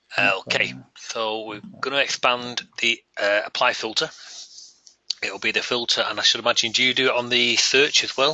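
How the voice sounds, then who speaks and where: In a Northern English accent, a man of medium pitch speaks with fairly even intonation. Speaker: software developer running user group webinar. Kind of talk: technical webinar discussion. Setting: online webinar. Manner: fast.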